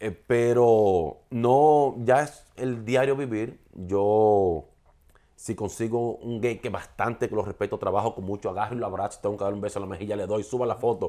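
Against a quiet background, a man's dark, mellow voice sits at a fairly low pitch, moving at a moderate pace with ordinary pitch variation. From Dominican Republic, Santiago; Dominican Republic. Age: 40s. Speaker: TV and radio presenter; radio presenter. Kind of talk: interview. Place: home room.

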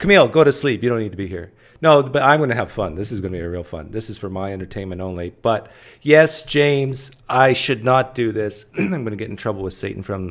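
The speaker talks at a very fast pace with lively intonation and big swings in loudness. The background stays quiet. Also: man. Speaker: livestream host. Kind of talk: casual livestream chat reading viewer messages. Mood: playful, joking.

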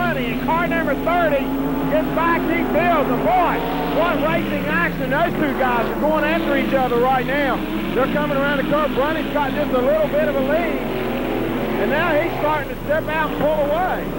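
Loud background noise sits under a voice at a moderate pace, the sound dry with no echo. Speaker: amateur race commentator filming. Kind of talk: commentary. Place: stadium. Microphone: old recording.

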